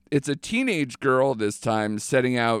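A man speaks in an ordinary speaking voice at a moderate pace with fairly even intonation, the sound dry and close with no echo on a very clean recording over a silent background. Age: 30s. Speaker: podcast host. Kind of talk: casual chat.

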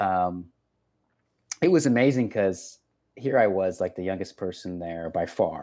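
A man with an American accent speaks at a very deep, low pitch, his tone dark and mellow. His pace is fairly slow, with ordinary pitch variation and long, frequent pauses. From Texas. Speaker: podcast host.

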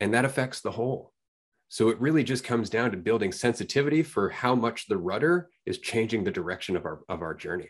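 A man talks very fast at a medium pitch, his intonation lively. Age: 40s. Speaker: podcast host. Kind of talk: casual chat.

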